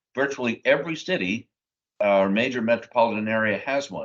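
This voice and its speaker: A man speaks at a medium pitch with ordinary pitch variation. It is an ordinary speaking voice at a moderate pace. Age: 60s. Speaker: state supreme court justice. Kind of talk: live panel Q&A.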